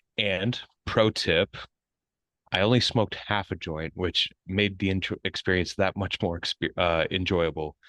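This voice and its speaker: A man with a very deep, low pitch and a bright, sharp tone speaks at a moderate pace with fairly even intonation. The sound is dry and close with no echo, over a quiet background. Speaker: wrestling podcast co-host. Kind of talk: casual chat.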